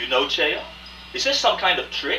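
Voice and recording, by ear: Over faint music in the background, a man performs a put-on character voice at a fairly high pitch, with a bright, sharp tone and big pitch swings. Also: moderate pace.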